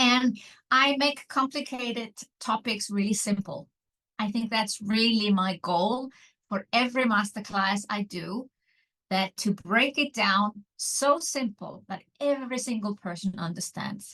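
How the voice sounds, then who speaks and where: A woman with an Icelandic accent speaks at a fairly slow pace in a fairly high pitch, her tone bright and sharp, the sound dry and close with no echo. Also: ordinary pitch variation. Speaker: online business mentor. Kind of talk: interview.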